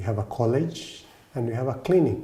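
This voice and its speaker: With a Kenyan accent and lively intonation, a man at medium pitch speaks at a moderate pace amid audible room echo. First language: Kikuyu. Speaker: Orthodox priest and monk. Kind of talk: interview monologue. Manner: halting.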